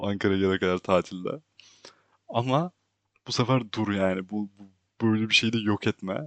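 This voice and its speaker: The sound is dry and close, with no echo. The pace is moderate and the pitch varies in an ordinary way. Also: man. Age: 20s. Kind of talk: personal monologue. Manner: casual, frequent laughter. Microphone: new microphone.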